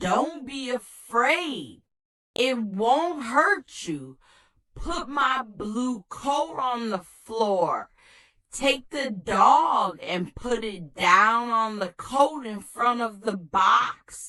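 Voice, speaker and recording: A woman's put-on character voice, high-pitched and very slow, with lively intonation. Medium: read story. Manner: instructive, deliberate.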